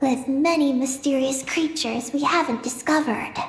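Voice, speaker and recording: A woman speaks at a moderate pace in a high-pitched, put-on character voice, with clear background noise behind her. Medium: short film. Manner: calm, matter-of-fact.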